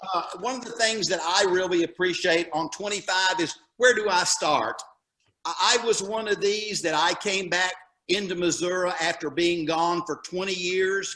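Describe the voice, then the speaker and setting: A man projects his raised, high-pitched voice with fairly even intonation. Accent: Southern US. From Alabama. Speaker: retired teacher, local association president. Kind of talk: presentation at a summit. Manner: halting.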